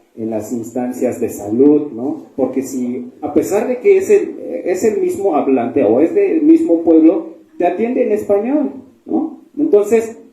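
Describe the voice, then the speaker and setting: A man with a Chiapas accent speaks at a very slow pace. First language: Tseltal (speaking Spanish). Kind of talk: panel discussion at book fair. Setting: book fair event with audience.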